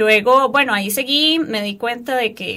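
A woman with a plain, everyday voice and a fairly high pitch speaks at a moderate pace. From Costa Rica, Turrialba. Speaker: dancer and parkour instructor. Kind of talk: radio interview.

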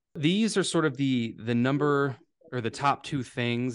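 The background is quiet as a man speaks at a fairly quick pace. His pitch variation is ordinary. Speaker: health podcast host and chiropractic physician. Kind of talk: talk to a live audience with Q&A. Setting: live talk at a fitness studio with audience. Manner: fast talker.

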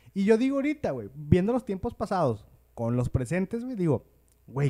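A man with a Mexican accent speaks at a high pitch and moderate pace, his dark, mellow tone moving through very wide pitch swings. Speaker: podcast host. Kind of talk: casual chat.

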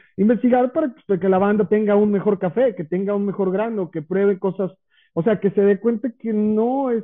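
High-pitched male speech, moderate in pace and ordinary in pitch variation. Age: 30s. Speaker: chef and coffee shop owner. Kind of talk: casual interview.

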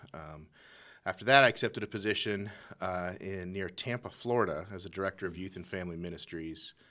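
A man's very deep, low voice with an American accent and a bright, sharp tone, fairly quick with ordinary pitch variation and big swings in loudness, on a very clean recording with a silent background. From Colorado, US. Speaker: assistant youth pastor. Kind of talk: interview.

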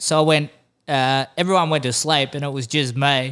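In a very clean recording with a silent background, a man with an Australian accent talks fairly slowly in a bright, sharp tone with fairly even intonation. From Western Australia (Exmouth). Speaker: fishing podcast host. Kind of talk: casual chat.

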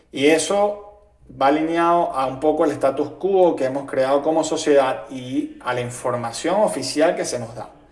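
The speaker talks at a moderate pace with ordinary pitch variation, over audible room echo and noticeable background noise. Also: man, fairly high pitch for a man. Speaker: podcast host. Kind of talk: monologue.

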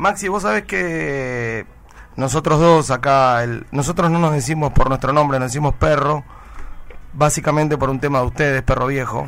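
A man with an ordinary speaking voice, fairly high in pitch, with ordinary pitch variation and a moderate pace. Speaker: radio host. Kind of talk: radio interview.

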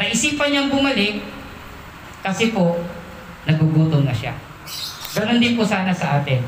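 The speaker keeps a moderate pace and an animated tone. Background noise is noticeable. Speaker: preacher. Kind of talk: sermon. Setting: church. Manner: animated, preaching with call-and-response ("Amen?"); conversational, mixes Tagalog with English phrases.

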